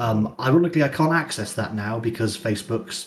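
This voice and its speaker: Somewhat breathy and with lively intonation, a man speaks at a fairly quick pace in a British accent with a medium pitch. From UK. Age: 20s. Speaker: internet personality. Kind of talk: interview. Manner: halting.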